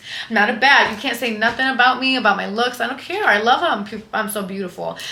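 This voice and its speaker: Over noticeable background noise and audible room echo, a woman talks at a very fast pace with lively intonation. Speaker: lifestyle and fitness influencer. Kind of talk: casual vlog monologue. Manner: loud; animated.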